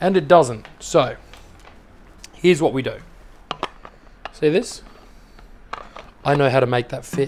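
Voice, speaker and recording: Amid noticeable background noise, a man with a fairly high pitch talks at a fairly slow pace with ordinary pitch variation. His speech has long, frequent pauses. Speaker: homebrewer. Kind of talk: tutorial. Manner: casual.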